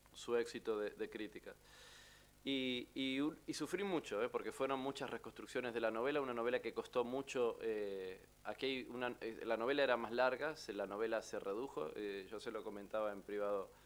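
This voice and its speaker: At a moderate pace, a man with an Argentine accent speaks at medium pitch with ordinary pitch variation. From Argentina. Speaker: novelist. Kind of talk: book presentation talk. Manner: halting, many fillers.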